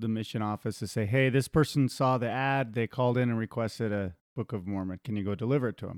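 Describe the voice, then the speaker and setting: A man with an American accent and a normal speaking voice, fairly low pitch, fairly even intonation and a fairly quick pace, in a very clean recording with a silent background and a dry, close sound with no echo. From US, hunting family. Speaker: podcast co-host. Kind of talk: casual chat.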